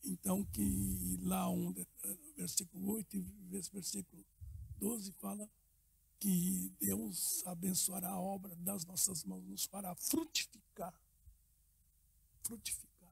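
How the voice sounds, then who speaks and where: Pausing often and at length, the man talks extremely slowly. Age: 70s. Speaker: pastor. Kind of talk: casual chat. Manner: halting.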